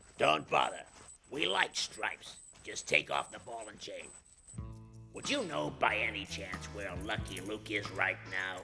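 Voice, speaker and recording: Cartoonish character voice broken by long, frequent pauses, with faint music in the background. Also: man, fairly low pitch for a man, moderate pace, big swings in loudness. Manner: bossy, irritable.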